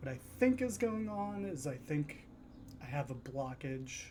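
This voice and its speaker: His voice carries a dark, mellow tone. There's a somewhat breathy quality as this man talks. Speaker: stock investing YouTuber. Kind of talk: casual talk to camera. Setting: at home. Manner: soft; halting, many fillers.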